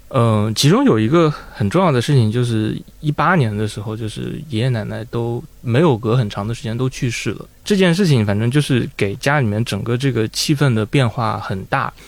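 Moderately paced and with hardly any pauses, a man talks in an ordinary speaking voice at a medium pitch with ordinary pitch variation. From northern China (Taiyuan, Shanxi). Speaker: audio editor. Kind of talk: casual chat.

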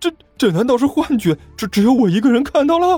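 Over faint music in the background, a man does a put-on character voice at a fast pace, with extremely high pitch, big pitch swings and a slightly husky edge. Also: dry, close sound with no echo.

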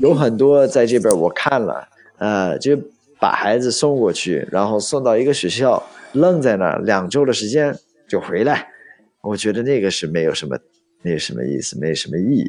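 A man with an English accent, medium pitch, very wide pitch swings, and a moderate pace. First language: English (speaking Chinese). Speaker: study-abroad expert and tour leader. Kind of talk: casual interview chat.

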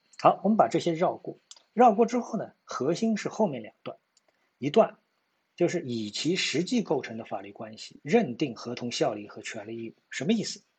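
This man's voice is high and swings very widely in pitch. His loudness also shifts a lot, and his pace is moderate. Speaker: stock market commentator. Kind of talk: market analysis monologue. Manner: hesitant with many fillers.

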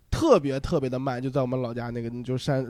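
In an ordinary speaking voice, a man talks at a fairly quick pace and a fairly high pitch. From Linyi, Shandong. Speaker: stand-up comedian. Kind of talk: casual chat.

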